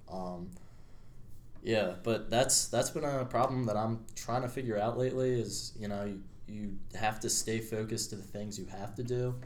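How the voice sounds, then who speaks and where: Audible room echo surrounds a man speaking at a moderate pace with an American accent and fairly even intonation. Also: medium pitch for a man. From Pennsylvania, US (Media). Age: 20s. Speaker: college student. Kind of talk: casual chat.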